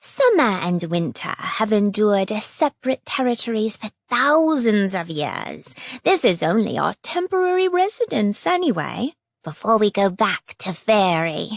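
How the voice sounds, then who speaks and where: A woman uses a put-on character voice, pitched fairly high and delivered at a moderate pace. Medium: read story. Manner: haughty, scornful.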